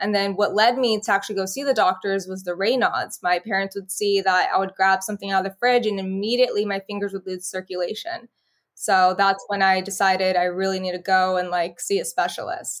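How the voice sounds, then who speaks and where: In a normal speaking voice with an American accent, the speaker moves at a fairly quick pace with fairly even intonation and hardly any pauses. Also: woman, medium pitch for a woman. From California, Bakersfield. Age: 20s. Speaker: healthcare worker and lupus patient. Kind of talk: interview.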